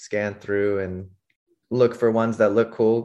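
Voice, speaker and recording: Against a quiet background, a man speaks with an American accent at a medium pitch. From San Francisco Bay Area, California. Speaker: professional skateboarder. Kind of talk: casual interview chat.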